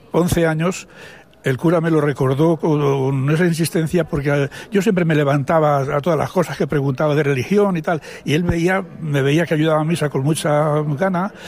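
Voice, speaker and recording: Against noticeable background noise, a man with a fairly high pitch keeps his loudness very even and his intonation fairly even. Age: 80s+. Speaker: retired priest. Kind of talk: testimony. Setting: studio. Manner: halting.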